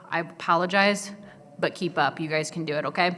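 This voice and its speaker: A woman's pitch varies in an ordinary way as noticeable background noise carries on. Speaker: photographer and videographer. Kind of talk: conference presentation. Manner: fast.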